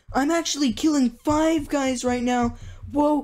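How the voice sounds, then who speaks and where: A female-sounding, put-on character voice speaks high in pitch at a fairly slow pace. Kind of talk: casual youtuber patter. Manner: excited, enthusiastic.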